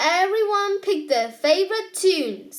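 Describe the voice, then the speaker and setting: The put-on character voice moves at a fairly slow pace. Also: woman, extremely high pitch for a woman. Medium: read story. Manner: genial, twinkling.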